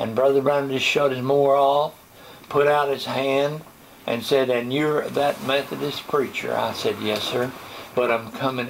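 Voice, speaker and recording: Noticeable background noise sits behind a man's medium-pitched voice. He talks at a fairly slow pace with monotone, flat intonation. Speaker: retired pastor. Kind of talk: interview answer.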